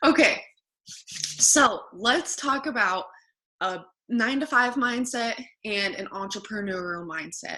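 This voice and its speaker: In a put-on character voice, a woman speaks raspy and fairly high at a fairly slow pace, with long, frequent pauses. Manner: subdued, restrained passion.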